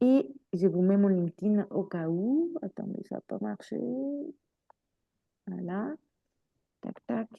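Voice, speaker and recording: Very slowly and with long, frequent pauses, a woman talks at medium pitch with lively intonation. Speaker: career coach. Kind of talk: webinar presentation. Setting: online webinar. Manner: animated.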